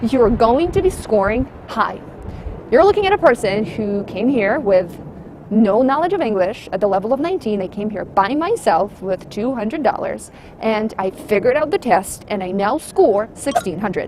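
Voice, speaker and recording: Over noticeable background noise, a woman with a non-native accent speaks at a moderate pace in an animated tone. Her fairly high voice makes very wide pitch swings. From abroad, immigrant to the US. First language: not English. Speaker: private test-prep tutor. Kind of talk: casual vlog commentary.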